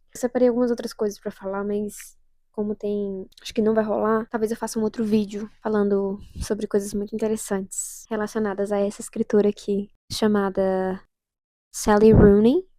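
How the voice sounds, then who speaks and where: The voice has a dark, mellow tone, moving at a moderate pace with monotone, flat intonation. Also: woman, fairly high pitch for a woman. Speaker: youtuber. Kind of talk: casual vlog monologue. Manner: soft-spoken; halting. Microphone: new microphone.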